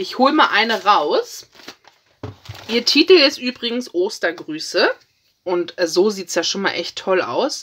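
Bright-toned with a slightly husky edge, a woman talks at a fairly slow pace and medium pitch, her intonation lively.

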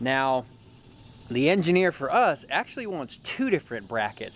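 At a moderate pace, a man talks with very wide pitch swings in a dry sound with no echo. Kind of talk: tutorial. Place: open country. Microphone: phone near.

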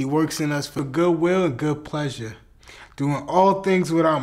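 Against a quiet background, a man speaks in a solemn tone at a fairly slow pace, with ordinary pitch variation. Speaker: spoken word performer. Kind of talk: spoken word poetry. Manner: earnest, fervent, rhythmic preaching cadence; solemn, deliberate, declarative. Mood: solemn, devotional.

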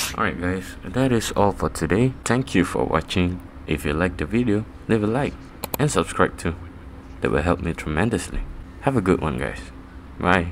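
Amid noticeable background noise, a man with a very deep, low voice speaks at a moderate pace, with very wide pitch swings and long, frequent pauses. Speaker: gaming YouTuber. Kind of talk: gameplay commentary. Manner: animated.

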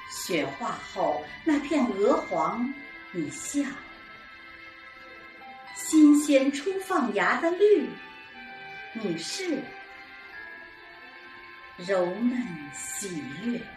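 With clear music in the background, a woman speaks at a high pitch with a gentle tone, very wide pitch swings, a very slow pace and long, frequent pauses. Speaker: amateur reciter. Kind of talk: poetry reading. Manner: gentle, elegant. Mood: gentle, elegant, lyrical. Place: home room. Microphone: camera far.

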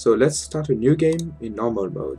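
Music plays behind a man with a non-native accent. His pitch swings very widely. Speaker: let's play gamer. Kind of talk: casual gaming commentary. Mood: joking, relaxed. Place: home room. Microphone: headset.

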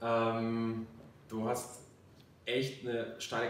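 A man at medium pitch, with audible room echo and light background noise. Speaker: podcast host. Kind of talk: interview question. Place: home room.

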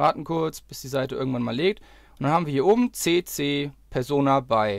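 Lively in intonation, a man speaks at a moderate pace with a fairly high pitch. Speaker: YouTuber. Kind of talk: angry rant, screen-recorded video commentary. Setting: screen-recorded video, voiceover. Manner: fuming and sarcastic, swearing, clipped and sharp; sarcastically jokey with bursts of swearing and impatient muttering.

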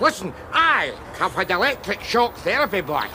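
A man's voice under loud background noise. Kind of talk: scripted comic dialogue. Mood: indignant, animated. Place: open country.

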